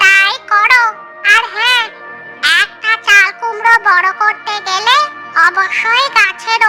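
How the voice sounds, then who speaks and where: An extremely high, cartoonish character voice at a very slow pace, with clear music in the background. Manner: calm, knowing, advisory.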